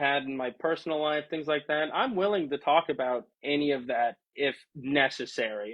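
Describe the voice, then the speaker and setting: The man's voice is fairly high in pitch. He speaks at a fairly slow pace. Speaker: streamer. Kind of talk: casual livestream chat. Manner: loud.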